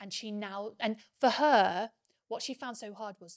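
A woman speaks in a normal speaking voice, fairly high-pitched, with fairly even intonation at a moderate pace. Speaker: business coach and former executive. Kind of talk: casual interview, personal storytelling.

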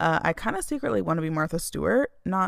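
The recording is very clean, its background silent. A woman talks at a moderate pace on it. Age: 20s. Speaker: podcast host. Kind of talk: solo monologue. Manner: animated.

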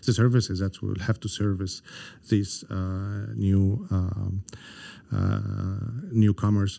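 On a very clean recording with a silent background, a man with an Arabic accent speaks very slowly in a dark, mellow tone at a fairly low pitch, with monotone, flat intonation and long, frequent pauses. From Egypt (Cairo). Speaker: government economic development director. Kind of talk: interview conversation. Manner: halting, many fillers.

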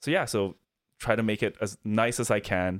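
A man with a Chinese accent speaks at a fairly low pitch. The recording is very clean with a silent background. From Beijing, China.

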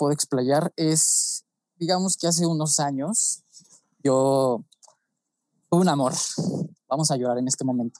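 A man with a Mexican accent, fairly high-pitched and dark, mellow in tone, with ordinary pitch variation, a fairly slow pace, and a dry, close sound with no echo. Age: 20s. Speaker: photographer and pharmaceutical chemist. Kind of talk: podcast interview.

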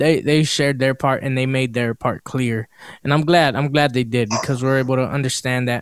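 A man with an ordinary speaking voice and an American accent speaks at medium pitch and a moderate pace with fairly even intonation, the sound dry and close with no echo on a very clean recording with a silent background. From Los Angeles. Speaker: podcast host. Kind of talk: casual chat.

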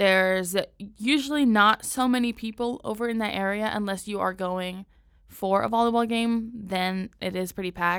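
A woman's medium-pitched voice with an American accent and fairly even intonation, on a very clean recording with a silent background. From San Diego, California. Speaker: podcast host. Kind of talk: casual solo podcast narration. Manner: casual, with fillers and restarts.

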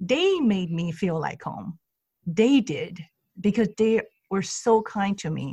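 Speaking at a very slow pace, a woman with a Chinese accent has a medium pitch, a dark, mellow tone, a somewhat breathy quality and lively intonation. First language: Mandarin Chinese. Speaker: Chinese language teacher and consultant. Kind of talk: interview.

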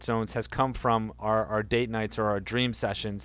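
An unremarkable speaking voice from a man with an American accent, fairly quick and fairly even in intonation, in a very clean recording with a silent background. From Delaware, US. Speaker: life coach and school co-founder. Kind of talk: interview.

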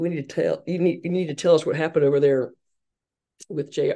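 In a Southern US accent, a woman talks with a very deep, low pitch and a dark, mellow tone. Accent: Southern American. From US South, Hartsville, South Carolina. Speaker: women's sports marketing executive. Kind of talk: interview.

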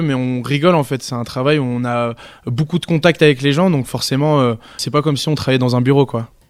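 A man with a normal speaking voice, a fairly high pitch and ordinary pitch variation talks at a fairly quick pace. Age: 20s. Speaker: holiday club entertainer. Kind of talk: interview. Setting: holiday village on location.

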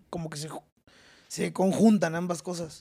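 A man's high-pitched voice moves at a moderate pace, its pitch varying in an ordinary way. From Querétaro, Mexico. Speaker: comedian. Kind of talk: casual chat. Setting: studio.

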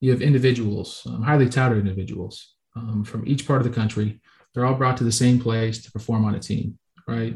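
Loudness swings widely as a man speaks in an American accent. His pitch is medium and his voice somewhat breathy. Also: fairly even intonation, fairly quick pace. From Florida, Tampa Bay area. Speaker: college football player. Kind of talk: interview. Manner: hesitant, with many fillers.

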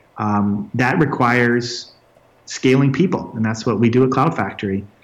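There is noticeable noise in the background. A man's voice comes through over it. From Canada, Red Deer, Alberta. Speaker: tech entrepreneur. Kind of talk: interview.

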